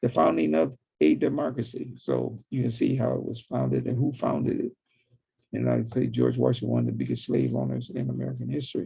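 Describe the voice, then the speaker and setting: A man speaks at a very fast pace with a very deep, low pitch and very wide pitch swings. His tone is dark and mellow, with vocal fry. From Michigan (Inkster, Detroit). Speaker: college professor and civil rights activist. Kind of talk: interview. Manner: halting, with many fillers and self-corrections.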